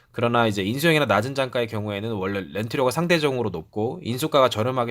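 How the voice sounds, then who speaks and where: Against a silent background in a very clean recording, a man races along at a very fast pace with lively intonation at a medium pitch. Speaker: car rental salesperson. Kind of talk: sales explainer video. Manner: hesitant with fillers; polite, formal.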